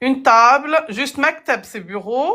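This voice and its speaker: A woman talks at a very slow pace. Her tone is bright and sharp. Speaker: Arabic language teacher. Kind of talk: live online language lesson. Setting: live stream.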